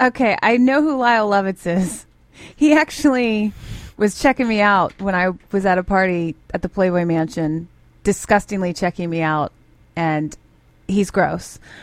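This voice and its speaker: A woman talks at medium pitch in an unremarkable speaking voice. Her pace is moderate and her intonation lively. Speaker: radio co-host. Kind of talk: morning radio show banter. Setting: studio.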